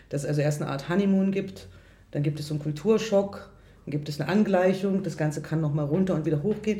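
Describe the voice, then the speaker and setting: Somewhat breathy, a woman's dark, mellow voice carries audible room echo. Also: fairly low pitch for a woman, ordinary pitch variation. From Germany. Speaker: radio journalist, interviewer. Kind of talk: interview. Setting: restaurant.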